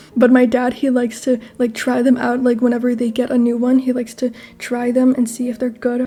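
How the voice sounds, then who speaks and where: A woman talks fairly quickly in a high pitch with monotone, flat intonation over noticeable background noise. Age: 20s. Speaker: gaming YouTuber. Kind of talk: casual chat. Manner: casual, filler-heavy.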